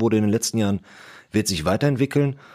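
A man talks at a fairly low pitch with ordinary pitch variation. The recording is very clean, its background silent. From Ruhr area, Germany (Bottrop). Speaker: property developer. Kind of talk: casual discussion. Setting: podcast studio.

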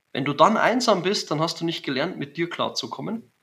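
In a Bavarian accent, a man speaks with a fairly high pitch and a bright, sharp tone on a very clean recording with a silent background. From Bavaria, Germany. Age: 40s. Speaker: business coach. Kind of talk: interview.

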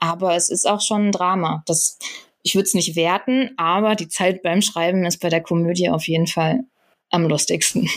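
Recorded very cleanly against a silent background, a woman uses a normal speaking voice at a moderate pace, with a fairly low pitch, ordinary pitch variation and very even loudness. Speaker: screenwriter. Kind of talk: interview. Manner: many filler sounds (ähm).

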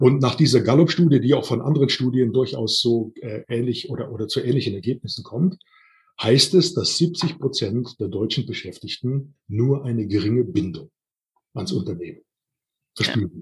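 A man's somewhat breathy voice rises and falls in lively intonation. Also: medium pitch for a man, moderate pace. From Rhineland, Siebengebirge near Bonn. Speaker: personnel development trainer. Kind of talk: interview. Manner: halting, many fillers.

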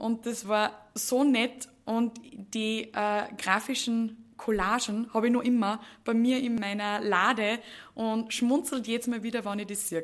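Fairly high in pitch, a woman with an unremarkable speaking voice speaks at a fairly slow pace with fairly even intonation. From Upper Austria, Mühlviertel. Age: 20s. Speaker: HR manager. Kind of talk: podcast interview.

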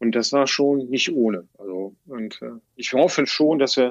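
This man speaks at a medium pitch. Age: 60s. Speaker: teacher, former civil engineer. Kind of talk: interview. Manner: halting.

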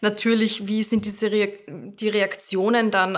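At a fairly high pitch, a woman talks at a moderate pace with fairly even intonation. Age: 30s. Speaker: social media creator. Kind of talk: casual chat.

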